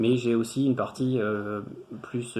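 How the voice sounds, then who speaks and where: A man with fairly even intonation over noticeable background noise. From France, Tours area. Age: 30s. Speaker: engineer, former student. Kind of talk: testimonial interview. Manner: hesitant, many fillers and repetitions.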